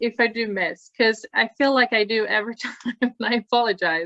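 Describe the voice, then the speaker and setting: A woman speaks with a Swedish accent at a moderate pace. Her pitch is fairly high. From Sweden. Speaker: task force meeting facilitator, nonprofit director. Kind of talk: group meeting. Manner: animated.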